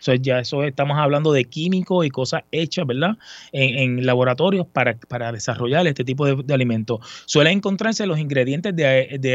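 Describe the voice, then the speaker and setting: Talking at a fairly quick pace, a man with an unremarkable speaking voice uses a fairly high pitch and ordinary pitch variation. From Puerto Rico. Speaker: sports section supervisor. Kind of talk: casual chat.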